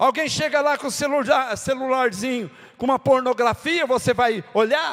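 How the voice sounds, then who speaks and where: A man with an extremely high pitch and ordinary pitch variation. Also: moderate pace. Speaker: pastor. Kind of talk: sermon.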